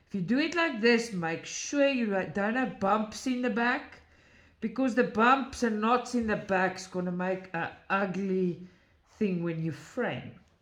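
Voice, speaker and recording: A woman's fairly high voice, lively in intonation, at a fairly slow pace amid audible room echo. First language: not English. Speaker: craft video creator. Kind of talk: tutorial. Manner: halting.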